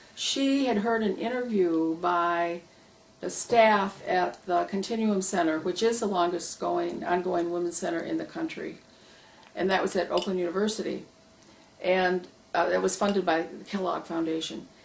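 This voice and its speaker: A woman with an American accent talks at a moderate rate while noticeable noise runs in the background. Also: medium pitch for a woman, ordinary pitch variation. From Michigan, US. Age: 70s. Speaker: retired social worker, public policy advocate. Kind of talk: oral history interview. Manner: hesitant, many fillers.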